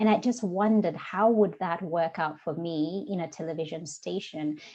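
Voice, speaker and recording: This woman's voice has a dark, mellow tone and a fairly low pitch. Her pitch varies in an ordinary way. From Kenya. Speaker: diversity and inclusion coach. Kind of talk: interview conversation.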